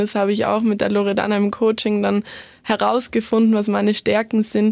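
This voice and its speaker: Her voice sits fairly high for a woman, and she speaks in a monotone with flat intonation. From South Tyrol, Italy. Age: 20s. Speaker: former competitive skier and student. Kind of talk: interview.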